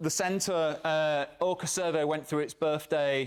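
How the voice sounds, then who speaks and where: Recorded very cleanly against a silent background, a man with a British accent speaks at a fairly high pitch with fairly even intonation. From England. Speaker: academic researcher. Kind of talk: conference talk. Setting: stage with audience.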